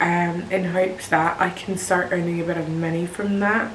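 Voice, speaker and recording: Noticeable background noise and audible room echo surround a woman speaking at a fairly low pitch with a British accent. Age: 20s. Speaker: nurse and video creator. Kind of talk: casual vlog talk to camera. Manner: monotone.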